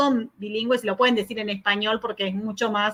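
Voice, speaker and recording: A woman is speaking. The tone comes out bright and sharp. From Argentina. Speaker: academic researcher, keynote speaker. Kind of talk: conference Q&A answer. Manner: fast; hesitant, many fillers.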